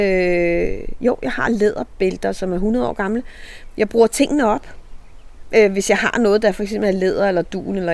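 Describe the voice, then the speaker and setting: A woman talks at a fairly slow pace. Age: 60s. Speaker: reality TV participant and author. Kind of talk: casual interview. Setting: outdoors in a garden.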